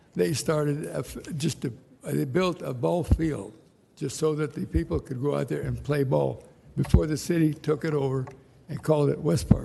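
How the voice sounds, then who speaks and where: With an American accent, a man speaks at a moderate pace in a somewhat breathy, dark, mellow tone, his fairly high pitch carrying lively intonation. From Ventura, California. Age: 80s+. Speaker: public commenter, local business owner. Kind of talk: public comment at city council meeting. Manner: halting.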